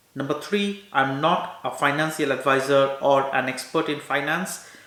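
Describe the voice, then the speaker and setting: There is audible room echo. A man speaks at a moderate pace. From India. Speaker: doctor and finance YouTuber; finance YouTuber. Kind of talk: informational talk to camera. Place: home room.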